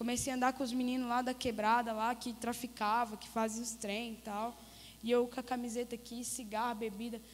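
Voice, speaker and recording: This woman's voice sits high in pitch. She delivers her words in a flat monotone. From Goiás, Brazil (Crixás). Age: 30s. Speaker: missionary giving testimony. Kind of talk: testimony. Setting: church service.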